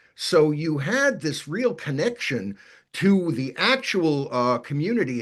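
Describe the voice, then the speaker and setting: A man speaks at a fairly high pitch with vocal fry and very wide pitch swings. He has a slight New York accent, over a quiet background. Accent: New York accent, faint. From New York City, Brooklyn. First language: Yiddish. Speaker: author and musicologist. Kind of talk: interview Q&A. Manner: halting, many repetitions and fillers.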